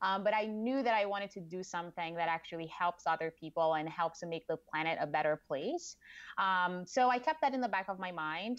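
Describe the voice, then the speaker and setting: At a fairly quick pace, a woman with a Portuguese accent speaks at a medium pitch with ordinary pitch variation against a quiet background. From Brazil. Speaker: marketing director. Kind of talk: interview.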